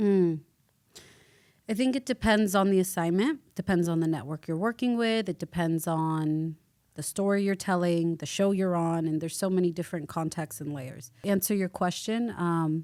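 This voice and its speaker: Her voice is raspy, dark and mellow, fairly low with ordinary pitch variation. The woman keeps a moderate pace on a very clean recording with a silent background. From US, Jordanian-American family. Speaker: journalist and news presenter. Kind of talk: podcast interview.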